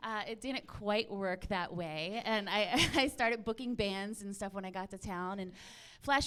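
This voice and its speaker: This woman has an ordinary speaking voice with an American accent and talks at a moderate pace. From Philadelphia. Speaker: actor, producer and host. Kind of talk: panel discussion.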